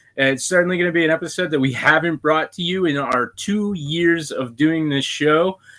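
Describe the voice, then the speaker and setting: Someone with an American accent speaks at a moderate pace with ordinary pitch variation. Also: man. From Western Pennsylvania. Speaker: podcast host. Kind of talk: casual interview chat.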